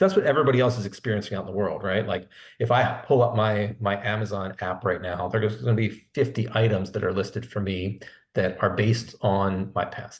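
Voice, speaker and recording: Against a quiet background, a man talks at a fairly quick pace in a somewhat breathy voice with a fairly low pitch. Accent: American. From Philadelphia. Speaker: sales executive. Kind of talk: webinar interview. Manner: conversational, with frequent repetitions.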